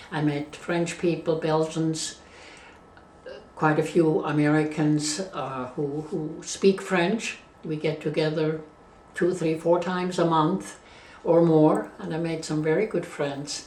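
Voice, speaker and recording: Audible room echo follows a woman with a Swiss German accent who speaks at a very slow pace in a very deep, low pitch with fairly even intonation. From Switzerland. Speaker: interviewee. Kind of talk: life story interview. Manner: halting.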